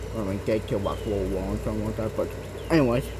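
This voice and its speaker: A man with audible room echo. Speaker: gaming channel owner explaining history. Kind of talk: casual educational monologue. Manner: halting, many fillers.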